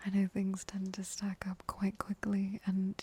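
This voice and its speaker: Soft-spoken and gentle in tone, the voice moves at a very slow pace. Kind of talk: ASMR comforting talk for sleep. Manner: soft-spoken, gentle.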